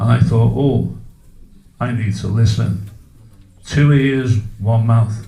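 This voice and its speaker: There's audible room echo around a man's medium-pitched voice. He sounds somewhat breathy, with ordinary pitch variation. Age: 60s. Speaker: public speaker at a community meeting. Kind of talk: public talk to a live audience. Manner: interactive, asks audience questions.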